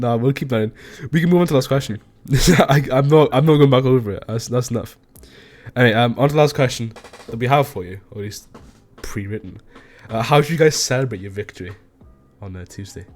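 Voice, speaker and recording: A man at medium pitch, very fast in pace yet full of long, frequent pauses, with ordinary pitch variation and big swings in loudness. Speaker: podcast host. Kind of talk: casual chat.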